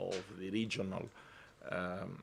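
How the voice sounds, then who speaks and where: This man has a very deep, low pitch. His intonation is monotone and flat. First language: not English. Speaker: environmental organization president. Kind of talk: conference talk. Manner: halting.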